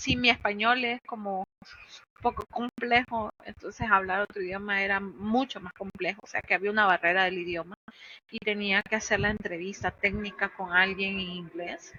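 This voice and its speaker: A woman's ordinary speaking voice at a medium pitch with fairly even intonation. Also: moderate pace. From Honduras. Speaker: cloud infrastructure engineer. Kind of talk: podcast interview.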